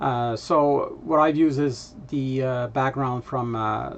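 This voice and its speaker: The speaker talks in a Quebec accent at a fairly slow pace with fairly even intonation. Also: man. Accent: French Canadian accent in English. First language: French. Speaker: vlogger, data analytics presenter. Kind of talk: casual vlog update. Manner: halting, many filler words.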